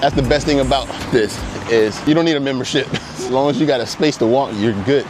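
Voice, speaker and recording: Over noticeable background noise, a man with an American accent talks at a very fast pace with fairly even intonation. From United States. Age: 40s. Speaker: digital marketing business owner. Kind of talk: casual walking vlog talk to camera. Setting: outdoors. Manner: casual, conversational.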